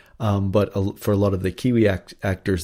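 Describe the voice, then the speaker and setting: Over a very clean, silent background, a man with a North American accent speaks in a fairly low, somewhat breathy voice with monotone, flat intonation. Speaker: actor. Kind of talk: interview. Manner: halting, many fillers.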